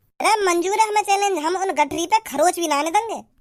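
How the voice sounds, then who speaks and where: A cartoonish character voice, squeaky and extremely high in pitch, chatters at a fairly quick pace. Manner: blunt, folksy.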